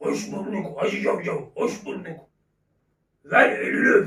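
A man does a raspy, put-on character voice at a fairly slow pace. Slight echo surrounds it. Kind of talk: shadow puppet play. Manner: brash, threatening, comic.

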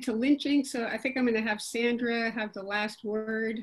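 A woman with a fairly high pitch, fairly even intonation and an unremarkable speaking voice, against a quiet background. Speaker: Q&A moderator. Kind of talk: Q&A moderation. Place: home room. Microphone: video call.

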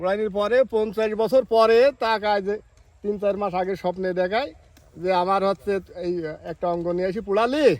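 A high-pitched man's voice with fairly even intonation. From Bangladesh, Kushtia. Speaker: local villager, garden owner. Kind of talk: storytelling interview.

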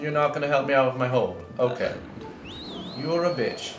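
Putting on a character voice, a man talks at a fairly high pitch and a fairly quick pace, with a slight echo and clear background noise. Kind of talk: comic overacting. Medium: game stream. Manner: whiny, crude.

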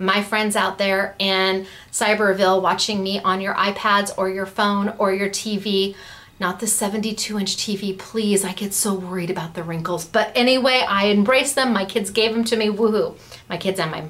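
With fairly even intonation, a woman talks at a moderate speed. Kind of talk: casual vlog chat. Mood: chatty, slightly serious. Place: office. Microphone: webcam.

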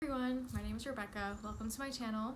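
A woman speaks with ordinary pitch variation. Light noise sits in the background. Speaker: vlogger. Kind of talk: casual vlog chat. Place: home room.

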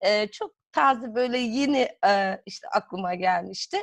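A woman's high-pitched voice with very wide pitch swings, over a quiet background. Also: dry sound with no echo. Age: 40s. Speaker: psychotherapist and author; guest. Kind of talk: interview. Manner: hesitant, many fillers. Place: home room. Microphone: video call.

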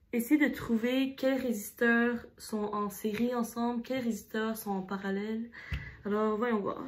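The woman's voice is fairly high, with fairly even intonation. She speaks at a very slow pace. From Quebec. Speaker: physics tutor. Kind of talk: tutorial. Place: home room.

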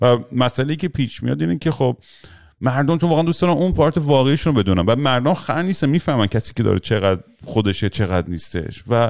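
A man's medium-pitched voice at a very fast pace, with very wide pitch swings, very even loudness and a quiet background. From US, moved to Iran at age 10. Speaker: podcast guest. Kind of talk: casual chat. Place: studio. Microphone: studio mic.

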